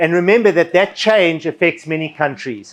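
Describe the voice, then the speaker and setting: Loud and at a moderate pace, a man talks with ordinary pitch variation. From Southern Africa. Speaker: finance education speaker. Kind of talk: seminar presentation. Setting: seminar hall with audience. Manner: loud, projected.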